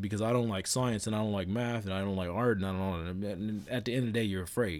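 Speaking at a fairly quick pace, a man uses a normal speaking voice with a fairly low pitch and ordinary pitch variation. The recording is very clean, with a silent background. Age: 30s. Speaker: podcast host. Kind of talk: casual solo monologue. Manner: rambling with fillers.

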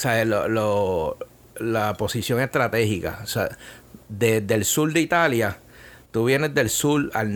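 A man with a Puerto Rican accent talks with ordinary pitch variation. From Puerto Rico, Bayamón. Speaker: chef and food business owner. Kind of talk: casual interview. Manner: halting, many repetitions.

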